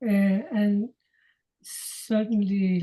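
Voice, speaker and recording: A woman's voice sits at a medium pitch and sounds somewhat breathy. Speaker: product distributor. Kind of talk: interview answer. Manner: halting.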